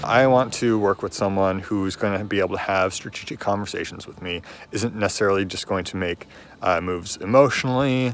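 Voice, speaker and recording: Fairly quick, fairly low-pitched speech from a man with a Pacific Northwest accent, ordinary pitch variation, and big swings in loudness. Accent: American (Pacific Northwest). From Washington state, US Pacific Northwest. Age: 20s. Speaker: reality game contestant, engineer. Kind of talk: confessional self-introduction. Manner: halting, many fillers.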